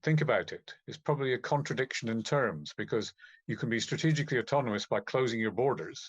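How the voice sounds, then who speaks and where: Talking at a very fast pace with a British accent, a man is recorded with a dry, close sound with no echo against a quiet background. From UK. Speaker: economist. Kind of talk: conference talk. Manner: halting with repetitions.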